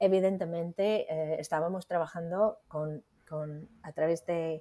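Very slowly and with fairly even intonation, a woman speaks in an American accent. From United States. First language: English (speaking Spanish). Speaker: literary editor. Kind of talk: interview. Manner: halting.

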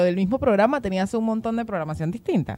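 Lively in intonation, a woman talks at a very fast pace. Background noise is noticeable. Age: 20s. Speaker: podcast co-host. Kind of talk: casual chat. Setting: studio.

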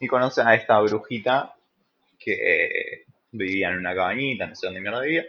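This man talks at a moderate speed, his loudness swinging widely. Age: 20s. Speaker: podcast host. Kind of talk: casual chat.

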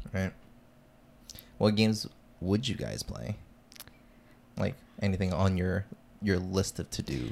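A man's very deep, low voice with vocal fry, ordinary pitch variation, and long, frequent pauses. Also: fairly slow pace. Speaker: podcast host. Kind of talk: casual chat.

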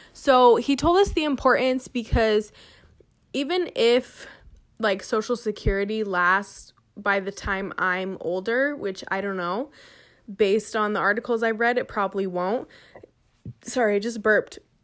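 A woman with an American accent speaks at a fairly slow pace with long, frequent pauses. Her fairly high pitch shows ordinary variation on a very clean recording with a silent background. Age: 20s. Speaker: podcast host, entrepreneur. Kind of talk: casual monologue; reading aloud.

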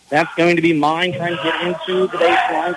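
There is noticeable background noise. A man with a high-pitched voice talks at a fairly quick pace. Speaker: radio sports play-by-play announcer. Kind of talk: live play-by-play basketball commentary. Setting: gym broadcast from the tournament. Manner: fast, rapid-fire, animated play-by-play delivery.

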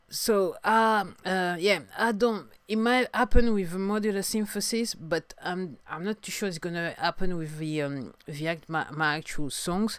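Fairly slow, nearly pause-free speech in a French accent, with ordinary pitch variation, on a very clean recording with a silent background. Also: woman, medium pitch for a woman. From France. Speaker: singer-songwriter podcaster. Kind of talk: solo video podcast monologue. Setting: home video recording, storm outside. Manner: halting, hesitant with fillers.

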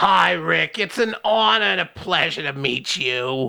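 This put-on character voice sits at a low-to-middle pitch with very wide swings. It moves at a fairly slow pace.

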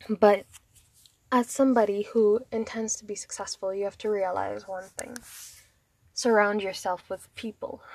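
A woman at medium pitch, monotone and flat, with long, frequent pauses, big swings in loudness, and a dry, close sound with no echo. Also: moderate pace. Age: 20s. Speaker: vlogger. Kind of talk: personal monologue.

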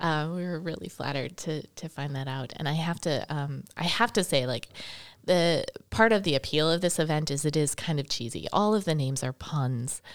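A woman speaks with an American accent. Her voice is very deep and low, with ordinary pitch variation. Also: moderate pace. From Wisconsin, Milwaukee area. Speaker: shop owner and event organizer. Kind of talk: casual interview. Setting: studio.

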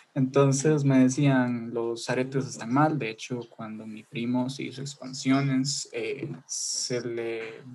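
Over noticeable background noise, a man of medium pitch speaks at a very slow pace with hardly any pauses, a monotone, flat intonation and big swings in loudness. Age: under 20 (19). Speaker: student. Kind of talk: casual chat. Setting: video call.

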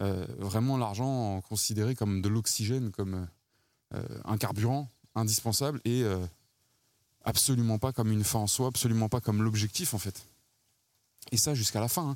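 Very clean recording with a silent background, a man with a fairly low pitch, ordinary pitch variation, moderate pace and long, frequent pauses. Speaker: podcast host. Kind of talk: walking monologue. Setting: outdoors. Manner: hushed. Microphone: mic close to mouth.

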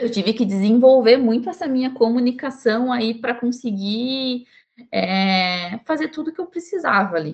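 Somewhat breathy, a woman speaks at a moderate pace in a fairly high voice. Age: 20s. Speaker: chemical engineering student and tech team lead. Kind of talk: podcast interview.

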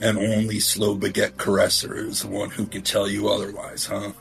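Clear music plays in the background as a man does a raspy, put-on character voice at a fairly low pitch. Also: moderate pace. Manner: blunt, pushy.

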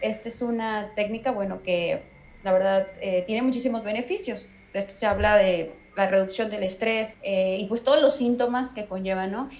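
Noticeable background noise accompanies a voice at a moderate pace with ordinary pitch variation. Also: woman. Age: 20s. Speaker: meditation teacher. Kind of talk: interview.

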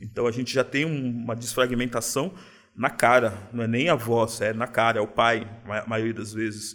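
Man with a plain, everyday voice, medium pitch, fairly even intonation, and moderate pace, on a very clean recording with a silent background. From São Paulo city, Brazil. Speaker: craft beer bar owner. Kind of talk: casual interview.

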